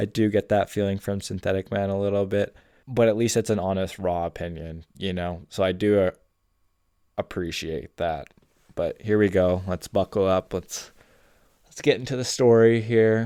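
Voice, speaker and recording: A man mumbles at a moderate pace in a dark, mellow tone and fairly low pitch, his intonation fairly even, the sound dry and close with no echo on a very clean recording with a silent background. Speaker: gaming commentary youtuber. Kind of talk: reaction commentary. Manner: stumbles and mumbles over words.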